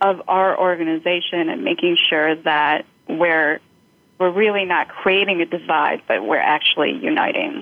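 A woman talks at a moderate pace in a plain, everyday voice. Her fairly low pitch carries lively intonation. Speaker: organization team member, mentor. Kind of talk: panel discussion.

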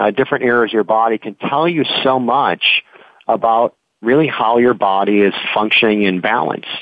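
In a normal speaking voice, a man speaks at a moderate pace and medium pitch with ordinary pitch variation. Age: 50s. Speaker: naturopath. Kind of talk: interview.

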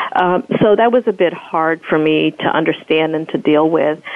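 Noticeable background noise sits behind a woman speaking with a fairly low pitch. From United States (born in South Africa, moved as young child). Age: 40s. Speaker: professor and activist, author. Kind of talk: interview.

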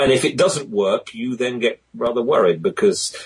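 This man speaks at a fairly slow pace with a British accent. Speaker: voice talent and conference moderator. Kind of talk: interview about public speaking.

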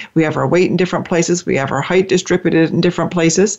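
Fairly low-pitched woman's voice, warm in tone, with monotone, flat intonation. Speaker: radio host. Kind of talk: interview chat. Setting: internet talk radio show. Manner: warm, friendly, conversational.

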